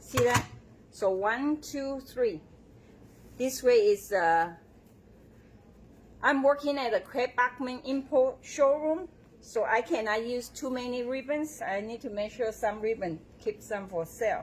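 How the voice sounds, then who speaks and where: In a strong Taiwanese accent, a woman speaks fairly slowly at a high pitch. Her intonation is lively, broken by long, frequent pauses. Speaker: bow maker demonstrator. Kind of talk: live tutorial. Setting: showroom, livestream.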